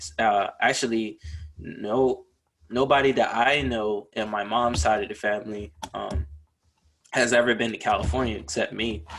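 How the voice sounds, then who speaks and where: A man with an American accent, medium pitch, vocal fry, ordinary pitch variation and a moderate pace. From US South, Charleston, South Carolina. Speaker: podcast co-host, military veteran. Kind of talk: casual chat.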